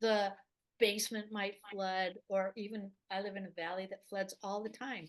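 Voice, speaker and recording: Her pitch is medium and her pace moderate. This woman's intonation stays monotone and flat. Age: 70s. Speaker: gardener and herb teacher. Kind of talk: interview. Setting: podcast interview.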